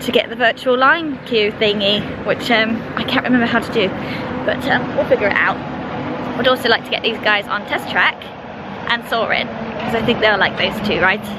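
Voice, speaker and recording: Ordinary pitch variation, with a dry sound free of echo and loud background noise. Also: woman, moderate pace. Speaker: travel vlogger. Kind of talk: casual vlog chat. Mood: cheerful and excited. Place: street. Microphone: phone near.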